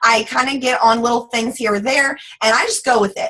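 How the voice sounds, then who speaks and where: In a strong Southern US accent, a woman speaks with an animated tone. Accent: thick Southern US. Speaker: network marketing team leader. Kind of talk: motivational team call talk. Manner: fast.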